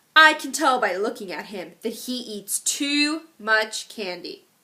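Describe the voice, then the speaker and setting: A woman uses a put-on character voice pitched high. She speaks at a fairly slow pace with very wide pitch swings. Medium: read story. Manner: prim, reproving.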